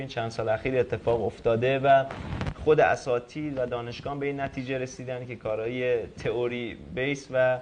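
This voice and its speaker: The speaker talks fairly quickly over noticeable background noise. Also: man. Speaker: robotics researcher and inventor. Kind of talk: TV talk show interview. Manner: hesitant, with fillers.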